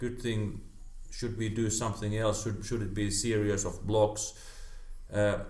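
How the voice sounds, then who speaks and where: Breathing somewhat audibly, a man with a Finnish accent speaks in a flat monotone at a fairly low pitch, with long, frequent pauses and audible room echo. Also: moderate pace. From Finland. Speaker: karate practitioner. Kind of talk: casual chat. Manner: halting, many repetitions.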